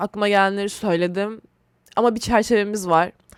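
Recorded very cleanly with a silent background and a dry, close sound with no echo, a woman with a plain, everyday voice speaks at a fairly quick pace, her fairly high pitch held in fairly even intonation. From Turkey, Istanbul. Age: 20s. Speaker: podcast host. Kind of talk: casual solo monologue. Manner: rambling conversational.

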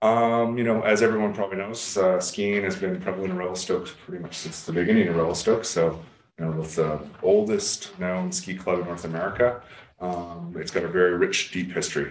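A man speaks at a fairly quick pace in a very deep, low voice. Audible room echo surrounds him. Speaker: council presenter. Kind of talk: presentation. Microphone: video call.

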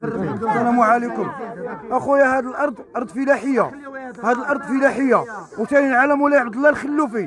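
With crowd noise in the background, a man talks at an extremely high pitch. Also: ordinary pitch variation, moderate pace, dry sound with no echo. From Morocco. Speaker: local resident. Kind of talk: street interview complaint. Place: street. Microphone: handheld.

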